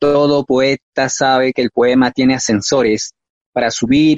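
With an unremarkable speaking voice, a man talks at a medium pitch. His pace is fairly slow and his intonation fairly even. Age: 30s. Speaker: poet. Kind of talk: poetry reading. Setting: live-streamed on Facebook.

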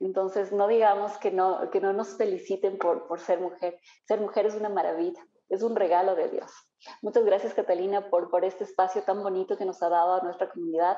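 Her delivery is fairly brisk. The woman's intonation stays flat and monotone. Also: medium pitch for a woman. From Ambato, Ecuador (highlands). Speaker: entrepreneur, cosmetologist. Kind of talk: interview. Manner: halting, many fillers.

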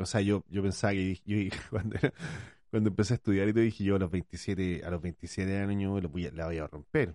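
Against a quiet background, a man with a dark, mellow tone speaks at a fairly low pitch with ordinary pitch variation. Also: fairly quick pace, dry, close sound with no echo. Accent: Chilean. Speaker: podcast co-host, parent. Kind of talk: casual chat.

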